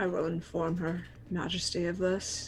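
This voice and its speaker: Using a put-on character voice, a woman speaks at a moderate pace and a fairly low pitch with monotone, flat intonation over clear background noise. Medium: actual play. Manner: formal, curt.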